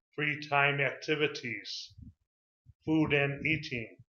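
A man's fairly high voice in an American accent, with audible room echo. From Chicago, USA. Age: 50s. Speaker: English teacher. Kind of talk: self-introduction video for a CV. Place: home room. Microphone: webcam.

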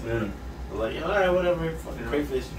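A man is speaking in a room with audible echo. Light background noise is present. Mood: joking, laughing. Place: home room.

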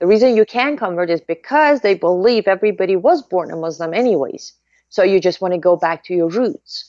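Speaking at a fairly quick pace with a Persian accent, a woman has a medium pitch, in a dry sound with no echo against a quiet background. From Iran. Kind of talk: interview. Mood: earnest, insistent. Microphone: webcam.

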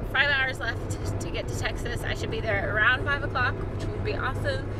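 Loud background noise fills the recording. A woman speaks in a dry sound with no echo. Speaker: vlogger on a road trip. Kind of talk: casual vlog chat. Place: car. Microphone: phone near.

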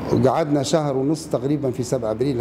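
A fairly high-pitched man with a Libyan accent and ordinary pitch variation, amid noticeable background noise. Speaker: former political prisoner. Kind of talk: interview answer. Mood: somber, reflective recollection.

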